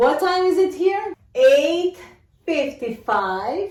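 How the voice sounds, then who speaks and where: A woman's high voice with very wide pitch swings. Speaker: English teacher. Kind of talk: tutorial.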